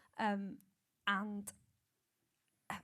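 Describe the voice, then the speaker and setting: The speaker has a Welsh accent. The pace is fairly slow. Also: woman. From Wales. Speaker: singer and radio presenter. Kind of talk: panel discussion.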